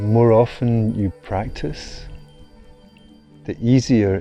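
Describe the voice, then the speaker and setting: With music in the background, a man speaks in a calm tone at a very slow pace. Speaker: meditation guide. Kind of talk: meditation course promo narration. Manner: slow, calm.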